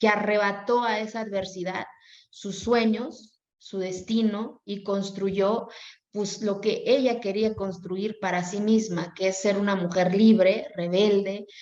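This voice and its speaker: Woman's medium-pitched voice with an Oaxacan accent, a very slow pace, fairly even intonation, and audible room echo. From Mexico, Oaxaca mountain Zapotec community. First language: Zapotec (speaking Spanish). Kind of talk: interview.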